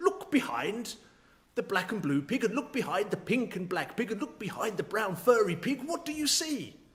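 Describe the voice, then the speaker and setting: Moderately paced, high-pitched put-on character voice from a man. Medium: read story. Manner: slow, deliberate.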